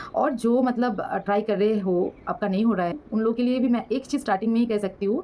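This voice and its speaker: With a dark, mellow tone and lively intonation, a woman speaks at a fairly high pitch. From West Bengal, India. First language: Bengali (speaking Hindi). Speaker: banking exam vlogger. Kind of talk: casual advice vlog. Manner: halting, many fillers.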